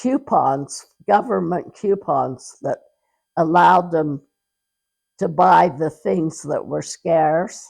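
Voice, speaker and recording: Woman with an American accent, fairly low pitch, vocal fry and ordinary pitch variation, at a very slow pace with long, frequent pauses. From Utah, rural (Hanksville area). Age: 80s+. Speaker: grandmother telling her life story. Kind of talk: oral history interview. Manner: halting, with self-corrections.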